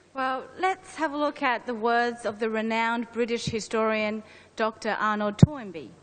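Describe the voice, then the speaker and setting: A woman's fairly high voice with a Chinese accent. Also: ordinary pitch variation, moderate pace. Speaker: presenter. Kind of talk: formal presentation.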